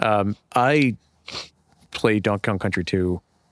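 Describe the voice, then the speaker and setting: Ordinary pitch variation in a dry, close sound with no echo, on a very clean recording with a silent background. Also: man. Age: 30s. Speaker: video game podcast guest. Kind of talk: casual chat. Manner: halting.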